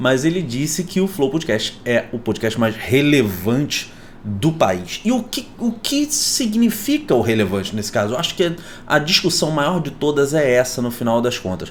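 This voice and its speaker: With very wide pitch swings, a man speaks at a fairly high pitch and a moderate pace over noticeable background noise. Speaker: YouTuber. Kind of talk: casual vlog commentary. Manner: animated.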